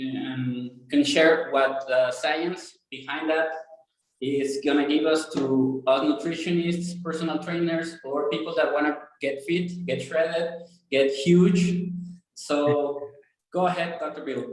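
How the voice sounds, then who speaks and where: Words come out at a very slow pace in a Spanish accent. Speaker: fitness podcast host, nutritionist. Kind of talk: interview. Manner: halting.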